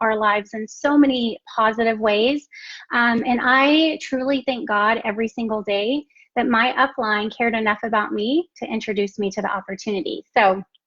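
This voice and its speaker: A woman talks in a Texan accent with a fairly high pitch. Her pitch varies in an ordinary way at a moderate pace. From Texas. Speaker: network marketing entrepreneur. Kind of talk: live stream business presentation.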